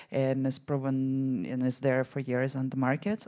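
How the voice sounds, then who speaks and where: In a very clean recording with a silent background, a woman speaks with a dark, mellow tone at a very deep, low pitch. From Israel. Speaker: venture investor and conference panelist. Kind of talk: panel discussion. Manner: hesitant, many fillers and restarts.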